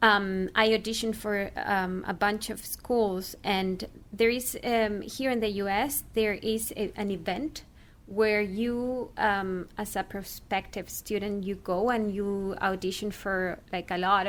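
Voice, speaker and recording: A woman with a Spanish accent talks at medium pitch with fairly even intonation. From Chile. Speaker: actor and former radio journalist. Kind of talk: interview. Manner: hesitant, many fillers.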